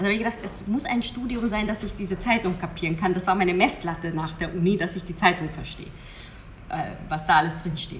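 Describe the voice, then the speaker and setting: A woman speaks at a very fast pace in a medium pitch with ordinary pitch variation. Noticeable background noise and audible room echo are present. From Hungary. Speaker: hypnosis coach. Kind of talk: interview.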